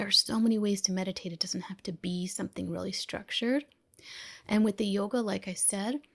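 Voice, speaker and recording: In a very clean recording with a silent background and a dry, close sound with no echo, a woman speaks somewhat breathily with ordinary pitch variation. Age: 50s. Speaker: physician and self-care coach. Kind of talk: interview.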